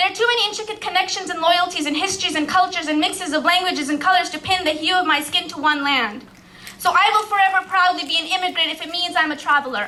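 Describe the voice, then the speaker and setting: A woman speaks at a very fast pace in a raised, projected voice with an extremely high pitch. Her tone is bright and sharp, with ordinary pitch variation. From Pakistan. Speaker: spoken word poet. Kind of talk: poetry slam performance. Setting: live stage.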